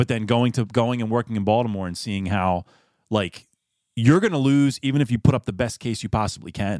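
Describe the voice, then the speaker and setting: Speaking in a Philadelphia accent at medium pitch, a man moves at a fairly quick pace with ordinary pitch variation in a dry, close sound with no echo. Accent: Philadelphia-area American. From Pennsylvania, Philadelphia area (Chadds Ford). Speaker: personal injury attorney. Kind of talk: casual interview.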